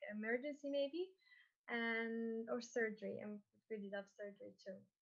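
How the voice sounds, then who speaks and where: A woman's normal speaking voice, fairly high in pitch, at a fairly slow pace. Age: 20s. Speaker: medical student. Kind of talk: panel self-introduction.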